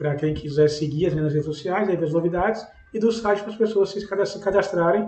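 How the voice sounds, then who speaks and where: This man has a high pitch and a Brazilian accent. He talks at a fairly quick pace. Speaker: podcast host. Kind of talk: podcast interview.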